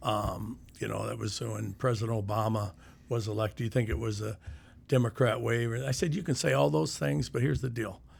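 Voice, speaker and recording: Vocal fry runs through a man's fairly quick speech, which has lively intonation and a Midwestern US accent. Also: fairly low pitch for a man. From Iowa, Sioux City. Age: 60s. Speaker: retired county sheriff. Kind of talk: casual chat.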